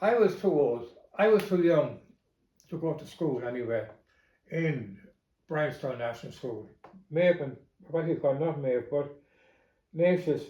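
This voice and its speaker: A man with an Irish Midlands accent speaks at a fairly high pitch and a fairly quick pace, his somewhat breathy voice dark and mellow in tone, with ordinary pitch variation and audible room echo. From Ireland, County Longford. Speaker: family member recalling memories. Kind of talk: oral history interview. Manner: halting, with fillers.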